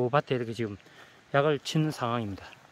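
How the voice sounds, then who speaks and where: The man's voice comes through as a dry sound with no echo. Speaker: documentary host. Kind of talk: casual narration to camera. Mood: admiring, warm. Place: farm. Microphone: phone near.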